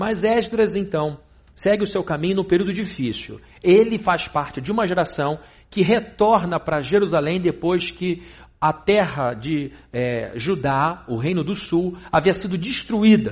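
A man's high-pitched voice at a fairly slow pace. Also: lively intonation. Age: 40s. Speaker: pastor. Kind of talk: sermon.

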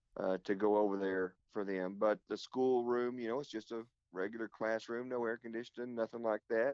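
A man speaks at a medium pitch with an Oklahoma accent. His intonation is monotone and flat, and his pace is moderate. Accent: Oklahoma Southern US. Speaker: pastor. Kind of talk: casual interview. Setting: phone call.

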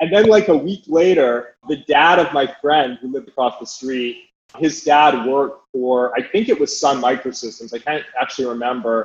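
A man with a normal speaking voice talks at a fairly high pitch and a moderate pace. His pitch varies in an ordinary way, and he barely pauses. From Canada, Calgary. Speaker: venture capital investor. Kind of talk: casual interview.

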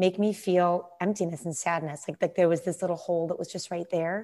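There's an unremarkable speaking voice at a fairly quick pace, heard on a very clean recording with a silent background. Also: woman. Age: 30s. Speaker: former musical theater performer. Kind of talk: casual chat.

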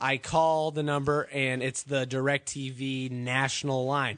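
A man's animated tone comes through over a quiet background. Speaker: podcast host. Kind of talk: casual banter podcast. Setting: studio. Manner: animated, profane, ranting.

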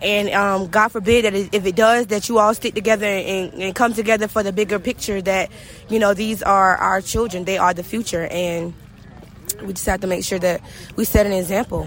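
This woman speaks in a Southern US accent at a medium pitch. Her delivery is a flat monotone at a moderate pace. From Brunswick, Georgia. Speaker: victim's high school classmate. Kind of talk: interview. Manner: halting.

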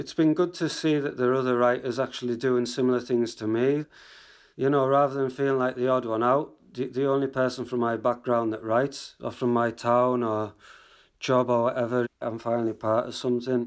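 A man with a Cumbrian accent, medium pitch, fairly quick pace and monotone, flat intonation, on a very clean recording with a silent background. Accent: Cumbrian northern English, regional dialect.

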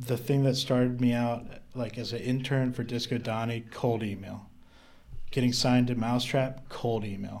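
Flat, monotone intonation marks this moderately paced voice with an American accent. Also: man, medium pitch for a man. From US South, North Carolina. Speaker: electronic music producer and marketing entrepreneur. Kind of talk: casual chat.

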